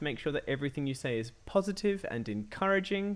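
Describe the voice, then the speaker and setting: This man, with a slight British accent, talks at a moderate pace while his pitch swings very widely. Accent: slight BBC-style British. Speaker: coding tutor for kids. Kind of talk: live-streamed coding tutorial. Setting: live stream. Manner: hesitant, many fillers.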